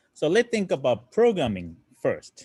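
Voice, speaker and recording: A man with a Japanese accent at a fairly slow pace. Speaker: robotics teacher. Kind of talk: lecture. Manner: halting.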